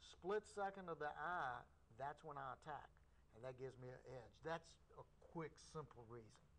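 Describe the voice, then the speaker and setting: Long, frequent pauses break up speech at a moderate pace with ordinary pitch variation, over light background noise. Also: man, fairly high pitch for a man. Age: 50s. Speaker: karate instructor. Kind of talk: interview on local cable access show. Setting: TV studio. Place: studio.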